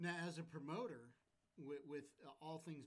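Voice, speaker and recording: A man talks at a moderate pace. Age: 40s. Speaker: podcast host. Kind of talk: casual chat. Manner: animated.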